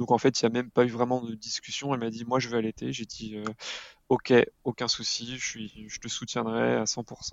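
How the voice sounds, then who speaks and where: Monotone, flat intonation at a moderate pace. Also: man, medium pitch for a man. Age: 30s. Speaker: parenting blogger and father. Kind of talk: podcast interview. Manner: halting, with frequent hesitations.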